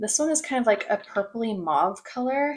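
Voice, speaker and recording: In an unremarkable speaking voice, a woman moves at a moderate pace, her intonation lively. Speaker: beauty content creator. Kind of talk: casual talk to camera. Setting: home recording, poor audio quality.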